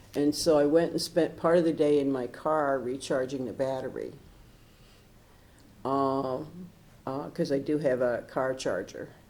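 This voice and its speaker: A woman with an American accent speaks at a very deep, low pitch in a dark, mellow tone with fairly even intonation. Her fairly slow speech has long, frequent pauses, and room echo is audible. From Michigan. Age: 70s. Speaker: retired professor, storm survivor. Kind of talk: oral history interview. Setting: city hall recording room. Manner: talkative.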